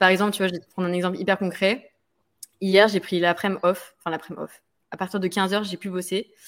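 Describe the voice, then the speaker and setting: A woman at a medium pitch speaks very fast in a flat monotone, her loudness swinging widely, on a very clean recording with a silent background. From French island overseas territory. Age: 20s. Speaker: fitness coach and content creator. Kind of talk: interview conversation. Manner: hesitant, many fillers.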